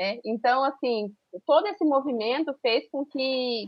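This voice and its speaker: A high-pitched woman's voice at a fairly slow pace, with ordinary pitch variation. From Brazil, Pantanal (Miranda, Mato Grosso do Sul). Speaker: teacher and researcher. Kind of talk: interview. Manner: halting.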